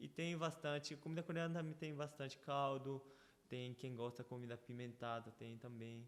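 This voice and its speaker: Speaking at a moderate pace, a man with a medium-pitched voice keeps his intonation fairly even. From Brazil (Paraná) and Paraguay, Korean family. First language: Korean (speaking Portuguese). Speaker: church member guest. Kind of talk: casual interview, testimony. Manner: halting, with repetitions.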